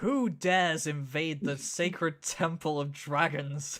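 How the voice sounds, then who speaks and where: A booming, put-on character voice delivers the lines at a fairly slow pace. The recording is very clean, with a silent background. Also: man, fairly high pitch for a man. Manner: commanding, intimidating.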